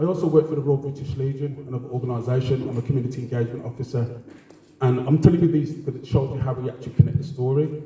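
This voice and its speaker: At a very fast pace, a man speaks at a medium pitch with fairly even intonation and audible room echo. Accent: Birmingham. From Birmingham, England. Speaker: heritage organisation co-founder, community engagement officer. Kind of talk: panel talk at a lecture event.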